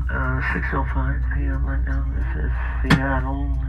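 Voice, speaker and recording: A man speaks over noticeable background noise. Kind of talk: public announcement. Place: bus. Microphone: pa.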